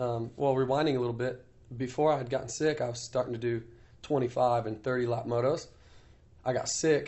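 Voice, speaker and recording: A somewhat breathy man with an American accent, medium in pitch, at a moderate pace. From US Midwest, Iowa. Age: 30s. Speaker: professional motocross racer. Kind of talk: casual interview. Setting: on location in Paris.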